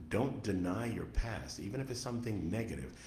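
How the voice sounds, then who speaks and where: Heard with audible room echo, a man speaks in a fairly low pitch with an American accent. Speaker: author. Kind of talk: radio interview.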